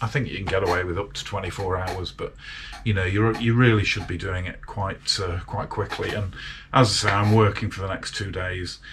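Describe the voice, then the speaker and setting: A man's fairly low, monotone, flat voice with a British accent at a fairly quick pace, over noticeable background noise. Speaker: motorcycle restoration hobbyist. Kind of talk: casual workshop vlog. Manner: chatty with fillers.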